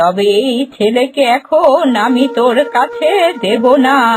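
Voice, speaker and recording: Faint music plays in the background as a woman uses a high-pitched cartoonish character voice at a fairly slow pace. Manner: commanding, motherly.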